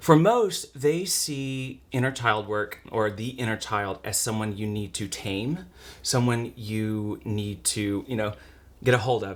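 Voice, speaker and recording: This man's voice is loud, at a medium pitch with ordinary variation. He talks at a fairly slow pace. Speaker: podcast host. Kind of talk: casual chat. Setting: home bedroom. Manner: animated.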